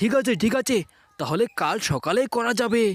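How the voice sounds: A man does a cartoonish character voice, high-pitched with a slightly husky edge and lively intonation. He speaks at a moderate pace while faint music plays in the background.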